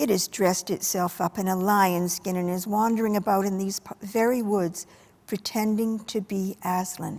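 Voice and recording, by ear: Here someone is reading aloud in a natural voice. Intonation is fairly even.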